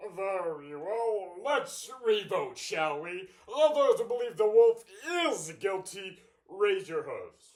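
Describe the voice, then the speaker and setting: Put-on character voice at a fairly slow pace. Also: man, high pitch for a man. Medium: stage play. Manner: formal, measured.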